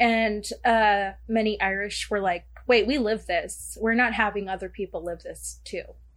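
Speaking with a Southern California accent, a woman talks at a fairly slow pace with hardly any pauses. Her medium-pitched voice has fairly even intonation, in a very clean recording with a silent background. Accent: Valley Girl. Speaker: fellow podcaster guest. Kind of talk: casual chat. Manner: frequent filler 'like'.

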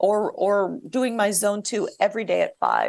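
Against a quiet background, a woman talks in a fairly high pitch with vocal fry. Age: 50s. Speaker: orthopedic surgeon. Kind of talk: casual chat.

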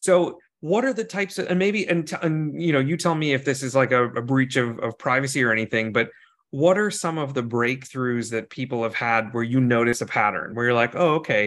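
Against a quiet background, a man with a normal speaking voice talks at a fairly quick pace. His medium pitch carries lively intonation. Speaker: podcast host. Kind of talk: casual interview.

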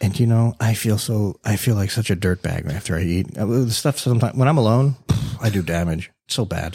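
A man with an American accent speaks at a fairly quick pace, his fairly low voice dark, mellow and somewhat breathy. His pitch varies in an ordinary way, and the recording is very clean with a silent background. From South Florida. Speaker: podcast host. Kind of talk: casual chat. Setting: studio. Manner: casual, filler-heavy.

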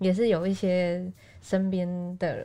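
Here a woman talks at a medium pitch. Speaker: podcast co-host, news reporter. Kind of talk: casual chat.

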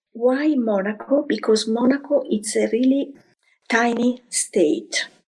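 Her pitch is high and her intonation lively. The woman speaks at a very slow pace. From Italy, Florence. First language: Italian. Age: 50s. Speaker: hotel housekeeping professional. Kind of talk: interview. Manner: halting, non-native phrasing.

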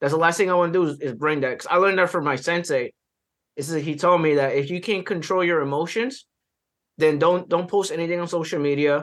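Talking at a very fast pace, a man with high pitch and an American accent shows ordinary pitch variation. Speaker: IT trainer and YouTube educator. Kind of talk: podcast interview. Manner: energetic.

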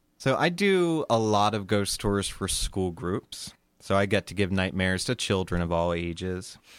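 A man with a plain, everyday voice and an American accent, fairly low in pitch with ordinary pitch variation, at a moderate pace in a very clean recording with a silent background. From US, Sussex County, Delaware. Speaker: theater director and ghost tour guide. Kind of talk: storytelling performance reading.

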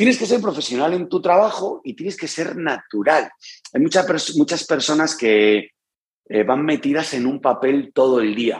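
This man's fairly high voice swings very widely in pitch as he speaks at a moderate pace. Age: 40s. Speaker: youtuber and kitchen retailer. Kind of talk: interview conversation.

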